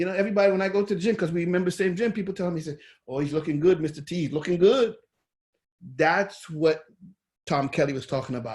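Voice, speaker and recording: A man talks loudly at a very fast pace and a high pitch, with an animated tone. His pitch variation is ordinary, and his pauses are long and frequent. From Caribbean islands. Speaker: online course instructor. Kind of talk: lecture.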